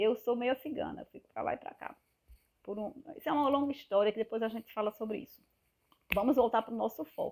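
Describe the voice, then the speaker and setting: A woman speaks in a northeastern Brazilian accent at a fairly high pitch. Her tone is animated, with lively intonation. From Northeast Brazil, Pernambuco. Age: 50s. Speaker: health vlogger. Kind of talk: casual vlog monologue.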